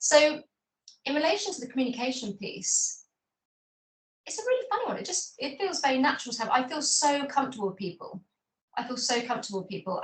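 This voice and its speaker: A high-pitched woman's voice at a very fast pace. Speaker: ADHD advocate, corporate professional. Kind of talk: interview.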